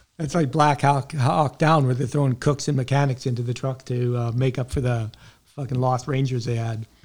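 A man with a Canadian accent, somewhat breathy, at a medium pitch, a fairly quick pace and fairly even intonation. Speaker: podcast host, army veteran. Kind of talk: interview.

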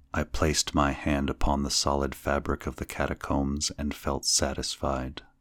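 A man's very deep, low voice with vocal fry, monotone and flat, hardly any pauses, in a dry, close sound with no echo. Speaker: podcast host and narrator of classic horror fiction. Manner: slow, measured and ominous, lingering over each completed tier; hushed, creeping suspense as the low laugh rises.

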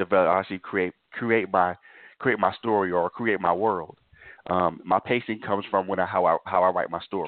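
A man speaks at a fairly quick pace in a very deep, low voice with fairly even intonation. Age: 40s. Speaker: novelist. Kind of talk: interview.

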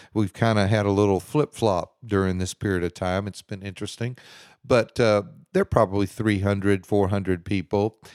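A man with a Texan accent speaks at a moderate pace in a fairly low pitch, his intonation fairly even, on a very clean recording with a silent background and a dry, close sound with no echo. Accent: Texan American English. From Houston, Texas. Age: 60s. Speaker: pastor. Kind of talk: casual interview.

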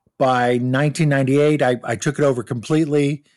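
In an American accent, a man speaks at a medium pitch with monotone, flat intonation. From Southern California, Orange County. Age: 50s. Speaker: travel agent. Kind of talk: interview.

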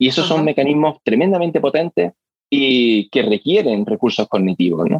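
Very wide pitch swings around a medium pitch in a man's voice. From Spain, Granada. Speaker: hearing scientist. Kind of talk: interview. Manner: hesitant, with fillers and repeated words.

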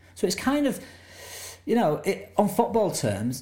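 A man's voice has a dark, mellow tone. It sounds somewhat breathy. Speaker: documentary director. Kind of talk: interview about his film.

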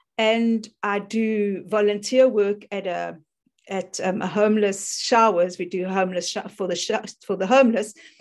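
A woman with a South African accent talks at a moderate pace in a medium pitch and fairly even intonation. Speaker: life coach. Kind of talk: casual interview.

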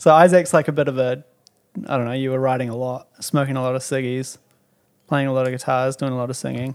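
Speaking very fast with a New Zealand accent, a man keeps a medium pitch and a monotone, flat intonation. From New Zealand (Timaru). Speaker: drummer. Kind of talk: casual chat.

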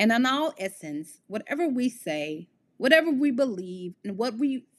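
A woman with an American accent speaks at a fairly slow pace. Her high-pitched voice swings very widely. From US Midwest. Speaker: podcast host. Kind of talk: solo monologue podcast.

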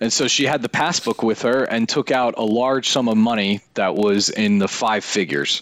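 A man with an American accent speaks at a moderate pace and medium pitch, his loudness very even, his pitch varying an ordinary amount, with hardly any pauses. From northern New Jersey (Wayne). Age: 30s. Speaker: former digital media executive. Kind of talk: casual interview.

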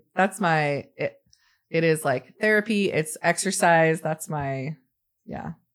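In an American accent, a woman speaks at a very slow pace with a fairly low pitch. Her pitch variation is ordinary, and the background is quiet. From Arizona. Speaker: nurse and foster mother. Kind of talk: casual interview chat.

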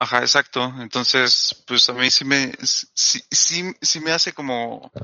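A man speaks at a very slow pace. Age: 20s. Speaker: podcast co-host. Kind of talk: casual chat.

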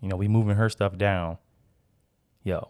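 Fairly low male speech, captured on a very clean recording with a silent background. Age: 30s. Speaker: podcast host. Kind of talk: casual chat.

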